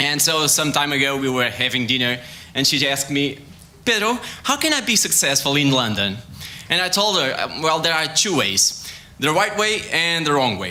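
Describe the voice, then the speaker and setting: In a Portuguese accent, a man talks at a moderate pace with a fairly high pitch and very wide pitch swings. Noticeable background noise and audible room echo surround him. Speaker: sports science researcher. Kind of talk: science talk competition. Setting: stage with audience. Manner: halting.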